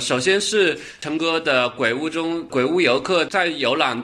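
The voice has a slight Changsha accent and a bright, sharp tone, with lively intonation at a moderate pace. The background is quiet. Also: man. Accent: slight Changsha accent in Mandarin. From Changsha, Hunan, China. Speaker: podcast host recommending web novels. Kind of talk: casual book recommendation monologue.

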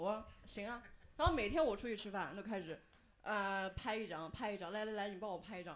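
A plain, everyday voice from a woman, medium in pitch, fairly quick, with ordinary pitch variation. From Henan, Zhengzhou. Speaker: audience member sharing story. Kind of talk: storytelling. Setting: stage with audience.

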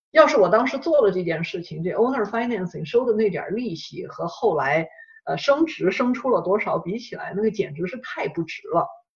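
A moderate pace with hardly any pauses. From China. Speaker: real estate investor and course instructor. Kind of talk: interview. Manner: halting, many fillers.

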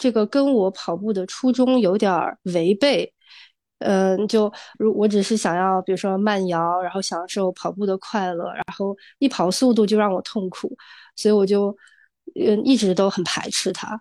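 A woman with a dark, mellow tone talks at a moderate pace and a medium pitch, with ordinary pitch variation against a quiet background. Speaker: amateur runner. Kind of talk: casual chat. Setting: video call.

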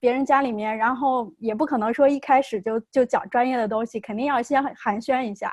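Recorded very cleanly with a silent background, a woman speaks in a high pitch with ordinary pitch variation. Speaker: behavior analyst. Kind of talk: casual chat.

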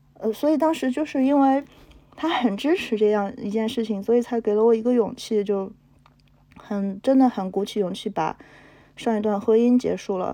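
A woman with a plain, everyday voice speaks at a moderate pace. Her pitch is fairly high, with ordinary pitch variation. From Henan, China. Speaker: entrepreneur. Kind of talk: personal testimony.

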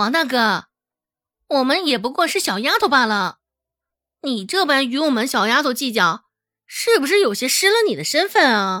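In a put-on character voice, a woman speaks high for a woman with a bright, sharp tone, big pitch swings and a moderate pace, on a very clean recording with a silent background.

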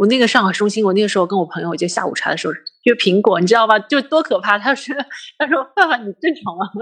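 Talking at a very fast pace, a woman uses lively intonation and a fairly high pitch. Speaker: finance worker and film fan. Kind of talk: casual chat. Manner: frequent hearty laughter.

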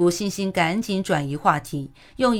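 A natural reading voice carries lively intonation.

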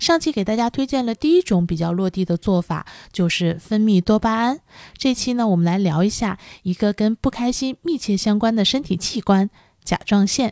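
With a plain, everyday voice and a fairly high pitch, a woman speaks at a moderate pace with lively intonation and big swings in loudness, in a dry, close sound with no echo. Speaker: podcast host. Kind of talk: solo podcast talk on wellbeing. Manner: calm, with frequent fillers.

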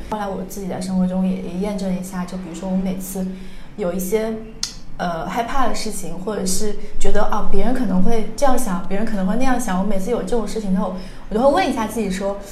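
A woman talks at a very fast pace in a medium pitch with fairly even intonation, her loudness swinging widely. Audible room echo and noticeable background noise fill the recording. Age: 20s. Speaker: podcast host. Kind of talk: casual chat.

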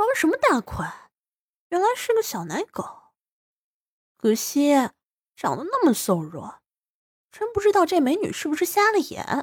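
A put-on character voice swings very widely in pitch, broken by long, frequent pauses. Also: woman, extremely high pitch for a woman, moderate pace.

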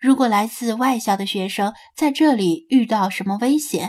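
Someone reads aloud plainly, and the pitch shifts only in ordinary ways.

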